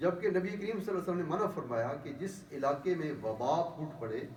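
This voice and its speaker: A man talks at a high pitch. Noticeable background noise is present. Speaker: imam, religious speaker. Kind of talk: explanatory religious talk in Urdu.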